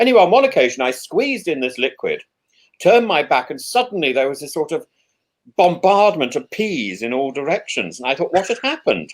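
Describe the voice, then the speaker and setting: His pitch is high and swings very widely. The man moves along at a fairly quick pace. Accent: slight English. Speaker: professor and Anglican priest, show host. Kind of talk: casual chat. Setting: live video stream. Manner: stammering, many repeated words.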